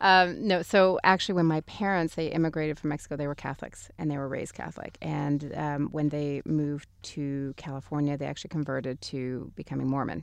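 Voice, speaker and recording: With an American accent, a woman speaks in a very deep, low pitch at a fairly quick pace, with hardly any pauses and fairly even intonation, over a quiet background. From Texas, Grand Prairie. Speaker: fashion company CEO. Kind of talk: interview.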